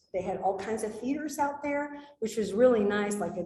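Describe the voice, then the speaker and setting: Her tone animated and her intonation lively, a woman talks at a fairly quick pace with audible room echo. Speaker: wildlife biologist. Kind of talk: slide presentation talk.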